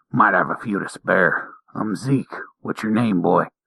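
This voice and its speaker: In a put-on character voice, a man sounds raspy and gruff at a medium pitch, keeping a moderate pace and fairly even intonation in a dry, close sound with no echo. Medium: read story.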